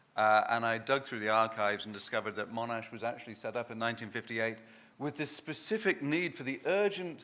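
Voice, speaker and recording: A man talks very fast in a bright, sharp tone. His pitch sits in the medium range with ordinary variation. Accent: English. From England. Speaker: law professor. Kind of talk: conference talk.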